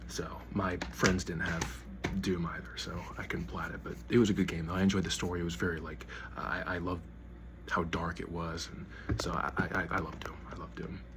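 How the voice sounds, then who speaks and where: With audible room echo, a man talks at a moderate pace in a very deep, low voice with lively intonation. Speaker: gaming YouTuber. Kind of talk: casual collection showcase. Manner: halting, repeated words.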